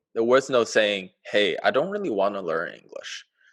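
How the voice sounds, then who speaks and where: Against a quiet background, a man with a Chinese accent talks at a fairly slow pace. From China. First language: Mandarin. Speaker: podcast co-host. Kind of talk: casual chat. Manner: halting.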